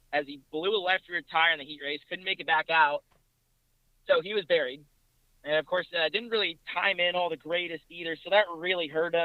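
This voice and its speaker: Here a man talks at a fairly quick pace. His high pitch shows ordinary variation. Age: young. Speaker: racing series reporter and analyst. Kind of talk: casual chat.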